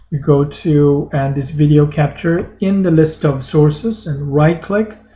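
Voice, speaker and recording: A man with a fairly high voice speaks at a very slow pace, somewhat breathy. His tone is dark and mellow, with ordinary pitch variation. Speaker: math lecturer. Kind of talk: tutorial. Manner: halting.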